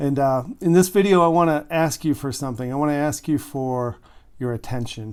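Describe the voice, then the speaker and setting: A man with an unremarkable speaking voice and a fairly high pitch talks at a moderate pace with ordinary pitch variation. The recording is very clean, with a silent background. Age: 60s. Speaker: relationship coach. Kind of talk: direct-to-camera monologue. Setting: home recording studio in a shed. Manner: conversational, earnest.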